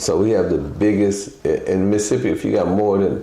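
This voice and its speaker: Speech comes at a fairly quick pace amid noticeable background noise and audible room echo. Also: man. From Chicago. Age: 60s. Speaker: former pimp turned entrepreneur. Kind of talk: interview, life story. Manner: casual, rambling with fillers.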